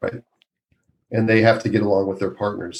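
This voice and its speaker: The speaker is male. He speaks in an American accent. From Minnesota, US Midwest. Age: 60s. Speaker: obstetrician. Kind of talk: podcast interview. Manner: animated.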